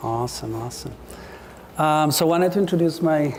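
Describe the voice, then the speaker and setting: A quiet man with an Ecuadorian accent talks at a fairly quick pace over noticeable background noise. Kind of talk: public talk. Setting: speaking to a live audience in a room. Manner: too quiet.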